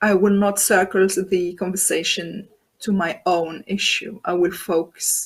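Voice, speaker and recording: Somewhat breathy, a woman with a non-native accent talks at a fairly slow pace and a medium pitch. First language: not English. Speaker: transformation coach. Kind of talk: interview. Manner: halting, with fillers.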